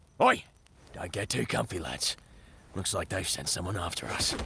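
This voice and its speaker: A put-on character voice from a man, raspy and very deep, at a moderate pace. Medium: cartoon. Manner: gruff, casual.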